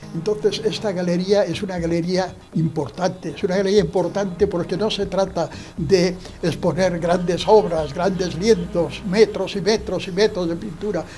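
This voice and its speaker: Noticeable background noise sits behind a man with a high pitch. He speaks at a moderate pace with fairly even intonation. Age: 80s+. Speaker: son of an artist, speaking at exhibition. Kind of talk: interview at exhibition opening. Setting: art gallery. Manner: halting.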